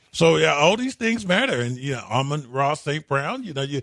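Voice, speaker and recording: In a normal speaking voice, a man talks at a moderate pace with a fairly high pitch and lively intonation, recorded with a dry, close sound with no echo. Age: 60s. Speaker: sports radio host. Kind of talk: casual sports talk radio.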